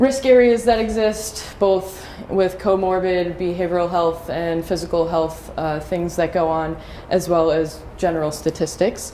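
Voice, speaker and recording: A woman with an American accent at a fairly low pitch and fairly slow pace, ordinary pitch variation, audible room echo and noticeable background noise. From US East Coast. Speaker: trainer. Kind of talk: training presentation.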